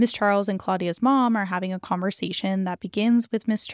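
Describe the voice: The text is read aloud plainly. It is plain reading aloud.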